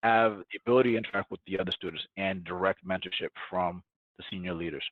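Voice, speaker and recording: A man with a Spanish accent talks very fast at a very deep, low pitch, keeping his intonation fairly even. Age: 30s. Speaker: tech startup founder. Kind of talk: podcast interview.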